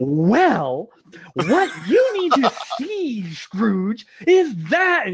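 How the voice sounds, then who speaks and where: A put-on character voice, fairly high in pitch, with very wide pitch swings and a very slow pace. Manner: theatrical, overdramatic, with attitude.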